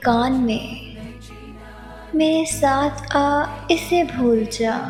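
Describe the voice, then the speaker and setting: Over music in the background, a woman speaks in a soothing tone with ordinary pitch variation. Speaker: poetry narrator. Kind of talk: poetry reading.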